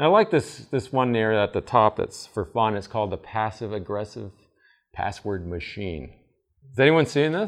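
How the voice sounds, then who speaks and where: Against a quiet background, a man with an American accent and an ordinary speaking voice talks at a moderate pace and medium pitch with lively intonation. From Vermont, US. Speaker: IT security presenter at church camp meeting. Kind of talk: seminar talk. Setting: camp meeting session with audience.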